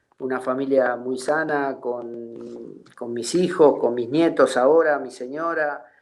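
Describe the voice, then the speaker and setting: With audible room echo, a man at a medium pitch speaks at a very slow pace with hardly any pauses, fairly even intonation and big swings in loudness. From Argentina. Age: 60s. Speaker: retired footballer. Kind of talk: interview. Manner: halting.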